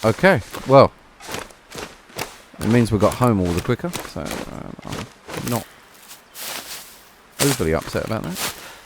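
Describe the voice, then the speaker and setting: A man with a British accent, medium pitch, relaxed tone and fairly slow pace, over noticeable background noise. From Britain. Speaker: gaming streamer. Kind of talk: gameplay commentary. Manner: casual, relaxed.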